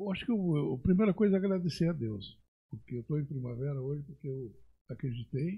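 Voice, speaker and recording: Somewhat breathy and fairly high in pitch, a man talks at a fairly quick pace with lively intonation. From Rio Grande do Sul, Brazil. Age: 70s. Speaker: agronomist and pioneer settler. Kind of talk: podcast interview.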